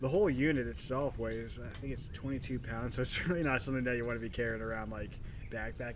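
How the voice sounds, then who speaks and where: Noticeable background noise sits behind a man. He talks in a relaxed tone at a fairly quick pace. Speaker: camping vlogger. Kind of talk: casual talk to camera. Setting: outdoors. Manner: rambling, relaxed.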